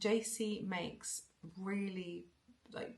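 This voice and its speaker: Here a woman speaks in a somewhat breathy voice. Her pitch varies in an ordinary way. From England, moved around (military family), born South Wales. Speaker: knitting podcaster. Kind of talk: casual chat. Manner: hesitant, many fillers and repetitions.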